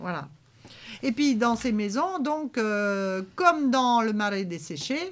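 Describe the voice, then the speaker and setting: A woman speaks very slowly, her pitch swinging very widely. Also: fairly high pitch for a woman. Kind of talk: local TV heritage talk show. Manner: casual, conversational, with frequent fillers.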